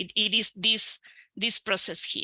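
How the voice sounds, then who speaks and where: A woman speaks with an Argentine accent in a bright, sharp tone. The sound is dry and close with no echo, and the recording is very clean over a silent background. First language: Spanish. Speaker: researcher and educator. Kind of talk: conference talk. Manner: halting, many fillers.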